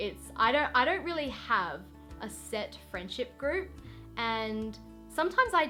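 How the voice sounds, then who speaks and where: A woman with an Australian accent speaks at a moderate pace over music in the background. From Western Australia. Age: young. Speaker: vlogger. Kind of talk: casual talk to camera.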